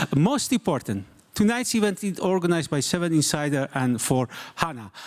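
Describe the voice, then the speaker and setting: A man with a non-native accent speaks at a moderate pace in a high pitch, his voice making very wide pitch swings. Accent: non-native English speaker. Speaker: journalist and event moderator. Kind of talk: live event moderation. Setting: stage with live audience. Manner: halting, many fillers.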